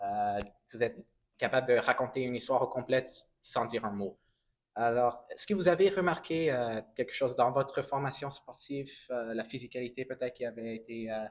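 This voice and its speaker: Fairly quick and medium in pitch, a man talks with a non-native accent and ordinary pitch variation. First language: English (speaking French). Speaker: film interviewer. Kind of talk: interview. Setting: film festival. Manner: halting.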